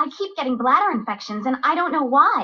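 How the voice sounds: A female-sounding voice performs a cartoonish character at a high pitch, moving at a fairly quick pace.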